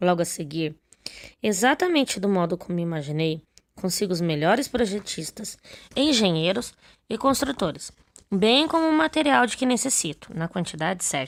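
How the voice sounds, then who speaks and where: On a very clean recording with a silent background, a woman of medium pitch speaks at a moderate pace with very wide pitch swings. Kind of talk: religious teaching reading.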